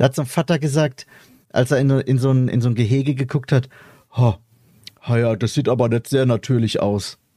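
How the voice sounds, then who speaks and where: A man with a dark, mellow, somewhat breathy tone, fairly even intonation and very even loudness, at a fairly quick pace broken by long, frequent pauses. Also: medium pitch for a man, dry, close sound with no echo. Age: 30s. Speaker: podcast host. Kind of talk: casual chat.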